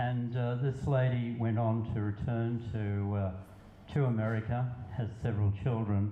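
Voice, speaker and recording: Against noticeable background noise, a man of medium pitch speaks fairly slowly in a monotone, flat way, with very even loudness. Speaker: poet. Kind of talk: casual talk to an audience.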